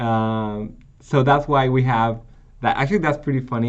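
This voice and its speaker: A man talks at a moderate pace, with audible echo from the room. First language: not English. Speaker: programming teacher. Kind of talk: tutorial. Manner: halting.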